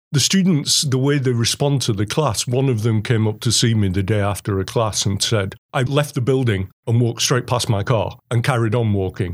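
In a very clean recording with a silent background, a man with an English accent keeps a very even loudness and ordinary pitch variation. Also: medium pitch for a man, moderate pace, hardly any pauses. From England. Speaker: computer science professor. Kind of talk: interview.

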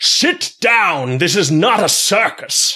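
In a bellowing put-on character voice, the speaker goes at a very slow pace with a fairly high pitch and very wide pitch swings. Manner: bellowing, commanding.

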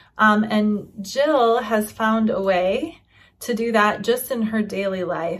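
The voice has a warm tone and sounds somewhat breathy. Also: woman. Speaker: podcast host. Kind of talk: casual interview chat. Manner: warm, encouraging.

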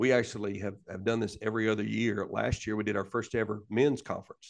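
Against a quiet background, a man talks fairly quickly in a medium pitch with a monotone, flat intonation. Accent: Alabama. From US South. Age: 40s. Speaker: pastor. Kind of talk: casual interview. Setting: backstage of a worship center.

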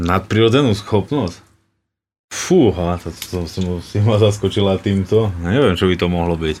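At a moderate pace, a man talks in an unremarkable speaking voice, fairly low in pitch and with ordinary pitch variation. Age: 30s. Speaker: professional ice hockey player. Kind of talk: interview.

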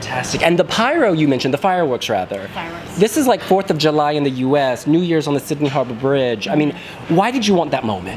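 Speech comes at a very fast pace. Background noise is noticeable. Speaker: interviewer. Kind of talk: casual interview chat. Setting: press room interview.

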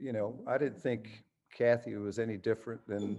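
At a moderate pace, a man with an American accent speaks at medium pitch in a dark, mellow tone. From western New York, US. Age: 60s. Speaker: rock musician. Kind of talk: interview.

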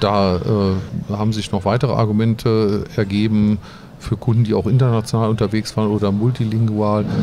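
With noticeable background noise behind him, a man talks at a moderate pace in a monotone, flat intonation at very even loudness. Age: 50s. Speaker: IT consultancy founder and CEO. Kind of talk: interview. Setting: conference venue. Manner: halting.

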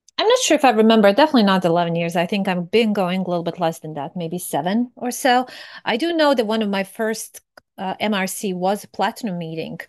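A woman with a Serbian accent talks at a very fast pace with lively intonation against a quiet background. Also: medium pitch for a woman. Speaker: fraud prevention professional. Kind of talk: casual chat.

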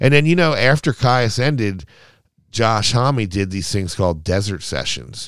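Heard in a very clean recording with a silent background, a man with an American accent lets his pitch swing very widely. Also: medium pitch for a man, fairly slow pace. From Baltimore, Maryland. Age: 50s. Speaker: skateboarder and drummer. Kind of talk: casual chat. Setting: band practice room.

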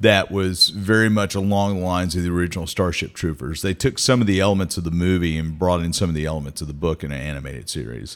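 A man's very deep, low voice in an American accent, very fast with hardly any pauses, on a very clean recording with a silent background. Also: ordinary pitch variation. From US South, Mississippi (Meridian). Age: 40s. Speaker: podcast host. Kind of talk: casual chat. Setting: studio.

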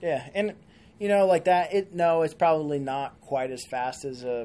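A man delivers his words fairly slowly, his tone dark and mellow. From rural farming area. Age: 20s. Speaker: precision rifle shooter and ammo reloader. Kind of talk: casual interview chat.

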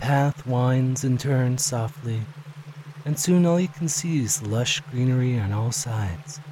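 Speaking at a fairly slow pace, a man has a medium pitch, ordinary pitch variation and a soothing, gentle tone. There is noticeable background noise. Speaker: hypnosis audio creator. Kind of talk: guided hypnosis induction. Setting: recorded audio for solo listening. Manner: slow, soothing, hypnotic, with gentle pauses; calm, soft-spoken, dreamy.

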